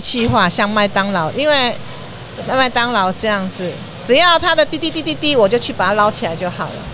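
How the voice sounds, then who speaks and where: A woman speaks with a fairly high pitch and lively intonation over noticeable background noise. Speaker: snack stall owner, retired educator. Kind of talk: interview. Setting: at a food stall on location.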